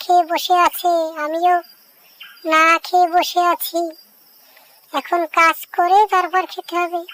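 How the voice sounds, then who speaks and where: Using a cartoonish character voice, a woman speaks at an extremely high pitch and a fairly slow pace. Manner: earnest, sincere.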